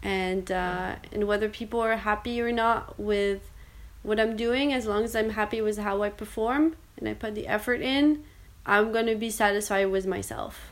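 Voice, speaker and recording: Delivered at a moderate pace with fairly even intonation, this is a normal speaking voice. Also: woman, fairly high pitch for a woman. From Canada. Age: 20s. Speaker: business developer. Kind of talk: personal testimony interview.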